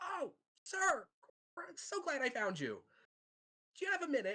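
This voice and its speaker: Putting on a squeaky character voice, a man speaks at an extremely high pitch and a moderate pace, with very wide pitch swings. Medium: actual play.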